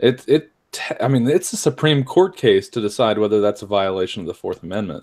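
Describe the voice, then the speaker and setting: A man with an unremarkable speaking voice talks at a fairly quick pace, medium in pitch, his intonation lively. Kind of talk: casual chat.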